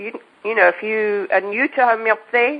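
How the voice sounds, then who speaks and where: Using fairly even intonation, a woman with an English accent talks at a moderate pace and a fairly high pitch. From England. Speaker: homeopath. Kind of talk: podcast interview. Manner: halting, self-correcting.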